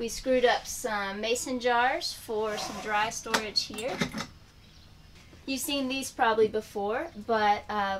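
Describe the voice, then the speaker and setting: Light background noise sits under a woman speaking at a very slow pace with fairly even intonation. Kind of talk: casual vlog chat. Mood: cheerful, relaxed. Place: home room.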